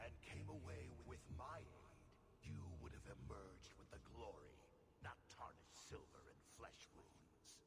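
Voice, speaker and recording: A put-on character voice speaks at a moderate pace. Loud background noise runs underneath. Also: man. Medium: video game. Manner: scornful.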